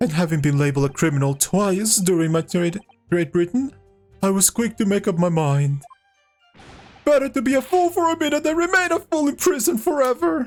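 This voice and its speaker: Over faint music in the background, a man puts on a high-pitched character voice with very wide pitch swings at a fairly quick pace. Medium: game stream. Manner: stammering, hesitant.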